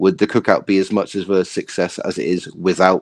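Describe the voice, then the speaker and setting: With a British accent, a man talks at a fairly low pitch in a dry, close recording with no echo. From UK. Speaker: social media content creator. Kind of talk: podcast interview. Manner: fast.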